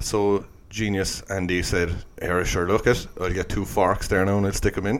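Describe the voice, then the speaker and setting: The man's voice is fairly low in pitch and his pace is fairly slow. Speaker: podcast co-host. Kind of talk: casual chat, comedic banter. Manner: swears a lot, jokey.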